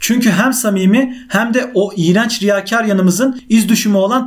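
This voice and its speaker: A high-pitched man with ordinary pitch variation, against noticeable background noise. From Central Anatolia, Turkey (Konya/Nevşehir). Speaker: podcast host. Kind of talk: monologue podcast. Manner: casual, conversational.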